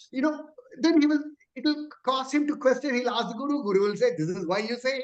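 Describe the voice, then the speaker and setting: At an extremely high pitch for a man, he speaks at a very fast pace with ordinary pitch variation. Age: 60s. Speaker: class participant. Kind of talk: question in religious class.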